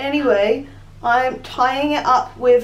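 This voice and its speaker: Someone speaks with a British accent amid noticeable background noise. Audible room echo is present. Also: woman. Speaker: beauty vlogger. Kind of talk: tutorial.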